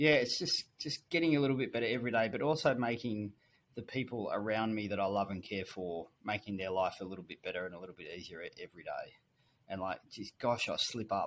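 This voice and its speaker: Talking at a fairly quick pace, a man with an Australian accent has a medium pitch, ordinary pitch variation and big swings in loudness. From rural New South Wales, Australia. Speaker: finance executive. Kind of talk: casual interview.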